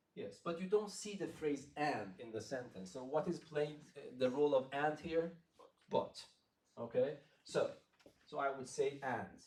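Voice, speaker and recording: Fairly high-pitched, somewhat breathy man with a non-native accent and lively intonation, fairly slow with long, frequent pauses, in audible room echo. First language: not English. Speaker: math lecturer. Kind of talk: interactive lecture. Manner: halting.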